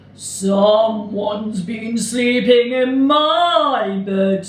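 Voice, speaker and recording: A put-on character voice, fairly high in pitch and very slow, with a slight echo. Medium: read story.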